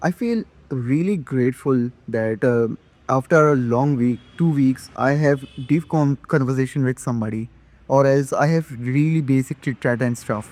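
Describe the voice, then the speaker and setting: A man with an Indian accent speaks with ordinary pitch variation, his voice sounding dry and close with no echo. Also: medium pitch for a man, moderate pace. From India, Madhya Pradesh. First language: not English. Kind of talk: casual talk to camera. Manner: hesitant, halting.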